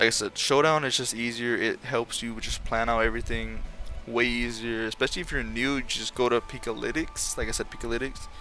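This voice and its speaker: A man talks at a fairly quick pace. Music plays behind him. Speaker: gaming content creator. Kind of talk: tutorial. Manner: fast; casual, self-correcting.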